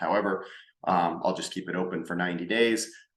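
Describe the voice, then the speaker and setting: Audible room echo surrounds a man whose very deep, low pitch comes at a very fast pace. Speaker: business consultant and workshop host. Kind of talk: recorded workshop presentation. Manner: halting, with filler words and repetitions.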